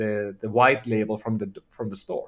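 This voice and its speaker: A man with a Finnish accent. He speaks at a fairly quick pace. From Finland. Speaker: health tech company founder. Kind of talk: interview. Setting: video call.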